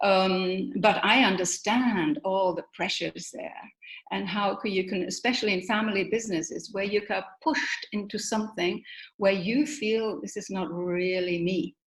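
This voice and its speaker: A woman's somewhat breathy voice at a medium pitch, moderate pace and ordinary pitch variation. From Germany. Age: 60s. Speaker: motivational speaker. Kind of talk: interview.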